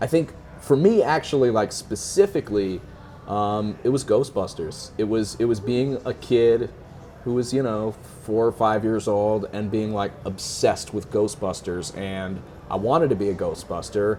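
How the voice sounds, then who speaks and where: At a moderate pace, a man with an American accent talks in an ordinary speaking voice, fairly low in pitch, with ordinary pitch variation. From US Midwest, North Shore of Chicago. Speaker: actor and writer. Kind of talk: interview. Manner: many fillers (um, like, you know).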